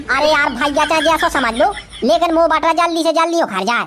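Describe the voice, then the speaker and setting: A woman's cartoonish character voice, extremely high-pitched, at a fairly quick pace with ordinary pitch variation. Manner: fretful, grumbling.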